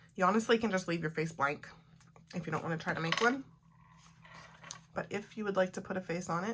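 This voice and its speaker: Over noticeable background noise, a woman with a medium-pitched voice and ordinary pitch variation talks very fast but with long, frequent pauses. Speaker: art journaling teacher. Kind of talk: tutorial. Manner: casual.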